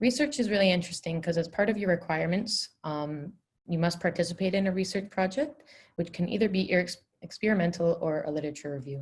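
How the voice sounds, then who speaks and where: With a Canadian accent, a woman talks very fast in a fairly low, somewhat breathy voice. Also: ordinary pitch variation. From Canada, Vancouver. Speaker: dental student. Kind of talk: webinar presentation.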